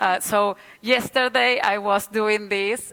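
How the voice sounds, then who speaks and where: Woman with a Spanish accent, medium pitch, fairly even intonation and a bright, sharp tone. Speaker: city official presenting an urban renewal project. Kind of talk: conference presentation. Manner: halting, with frequent hesitations and repetitions.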